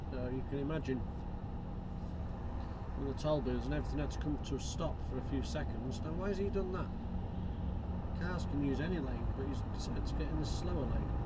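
Over loud background noise, the speech moves at a fairly quick pace. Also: man. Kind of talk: casual driving commentary. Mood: mildly annoyed at traffic. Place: car. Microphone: camera far.

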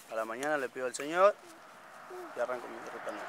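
The speech runs at a very fast pace. The sound is dry with no echo, though background noise is noticeable. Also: man. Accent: Argentine. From Buenos Aires province, Argentina. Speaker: homeless father walking with his family. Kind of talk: street interview. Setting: outdoors by the roadside. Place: open country.

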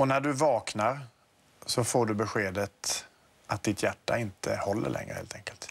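Speaking at a moderate pace, a man keeps to ordinary pitch variation. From Sweden. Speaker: TV morning show host. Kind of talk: TV interview. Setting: TV studio. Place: studio. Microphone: lapel.

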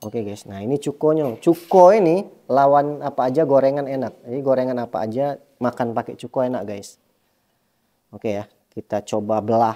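The voice has a dark, mellow tone and ordinary pitch variation, moving at a fairly quick pace. The background is quiet. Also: man. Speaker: food vlogger. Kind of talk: casual food vlog chat. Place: home room. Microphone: phone near.

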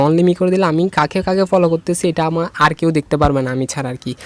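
The sound is dry and close with no echo as a man with an unremarkable speaking voice talks at a fairly high pitch. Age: 20s. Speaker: tech tutorial creator. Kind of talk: screen-recorded tutorial.

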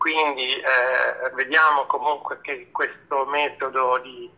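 A man speaks at a very slow pace. Noticeable background noise is present. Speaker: guest speaker on faith talk show. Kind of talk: casual chat. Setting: video call.

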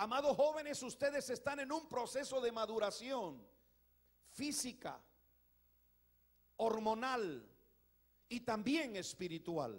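A man's extremely high voice with lively intonation, at a very slow pace, against a quiet background. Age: 60s. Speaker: pastor. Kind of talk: sermon. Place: church. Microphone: handheld.

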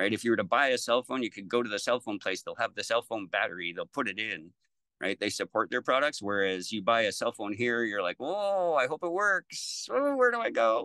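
Here a man talks at a fairly quick pace with hardly any pauses. The sound is dry with no echo, and the background is quiet. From Lethbridge, Alberta, Canada. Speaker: battery technician. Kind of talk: interview answer. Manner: casual, conversational. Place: home room. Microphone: video call.

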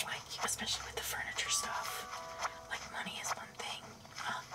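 A woman whispers at a moderate pace. Music plays in the background. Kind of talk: ASMR gameplay commentary. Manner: whispered, soft-spoken.

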